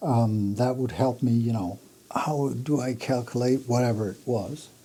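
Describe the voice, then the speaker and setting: At a fairly slow pace, a man with a Danish accent speaks in a dark, mellow tone at a medium pitch. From Jutland, Denmark. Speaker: audio equipment designer, company founder. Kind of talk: interview. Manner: hesitant, with fillers and restarts.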